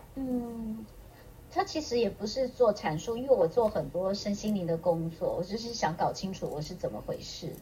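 Noticeable background noise behind a woman's voice, her intonation lively. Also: fairly high pitch for a woman, moderate pace. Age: 50s. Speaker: aromatherapist. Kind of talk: casual interview chat.

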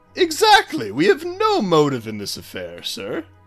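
Faint music plays in the background. Over it, a man does a put-on character voice at a moderate pace. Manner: fast-talking, flustered then smooth and persuasive.

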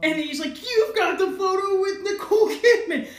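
Fairly quick speech from a woman, with audible room echo and noticeable background noise. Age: 30s. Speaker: podcast host, comic artist. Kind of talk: casual chat.

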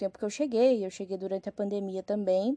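A woman speaks at a fairly quick pace in a dark, mellow tone. The sound is dry and close, with no echo. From Rio Grande do Sul, Brazil. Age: 20s. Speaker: podcaster. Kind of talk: casual solo monologue.

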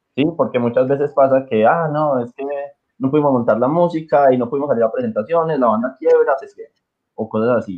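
A man talks at a fairly quick pace and a fairly high pitch in a plain, everyday voice. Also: ordinary pitch variation. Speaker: music teacher and marching band organizer. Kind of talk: casual chat.

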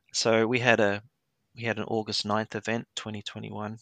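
A man's fairly low voice with an Australian accent and vocal fry, dry and close with no echo, over a quiet background. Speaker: HVAC technician and grid industry worker. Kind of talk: interview. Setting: remote call from New Zealand. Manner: hesitant with many fillers.

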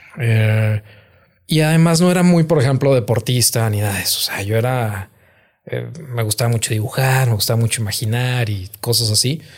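His pace is moderate and his pitch medium, with ordinary variation. The man's voice is somewhat breathy. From northern Mexico, Gómez Palacio, Durango. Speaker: comedian. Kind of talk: casual chat. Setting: studio.

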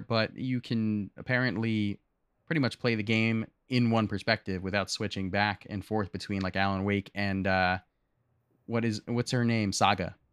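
A man with an American accent talks in a plain, everyday voice at a fairly low pitch and a moderate pace. His intonation is fairly even, and the recording is very clean with a silent background. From US South. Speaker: podcast co-host and streamer. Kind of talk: casual chat.

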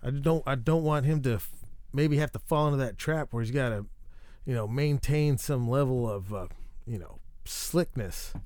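Pitch varies in an ordinary way throughout, and the pace is moderate. The delivery is an unremarkable speaking voice. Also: man, fairly high pitch for a man. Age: 30s. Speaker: podcast host. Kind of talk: casual monologue. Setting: treehouse recording space. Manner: rambling, self-interrupting.

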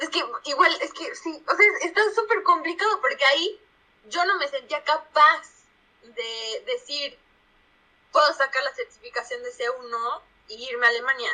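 A woman's raised, projected voice at an extremely high pitch, bright and sharp in tone, with very wide pitch swings, a fairly slow pace and a central Mexican accent. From Mexico, Puebla. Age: 20s. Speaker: product manager. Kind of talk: casual interview.

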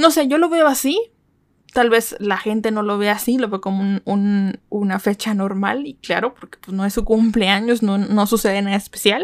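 Talking at a moderate pace, a woman with a fairly high pitch sounds animated. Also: ordinary pitch variation. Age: 20s. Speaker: podcast host. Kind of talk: casual solo podcast monologue. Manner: animated, chatty; halting with frequent repetitions and fillers.

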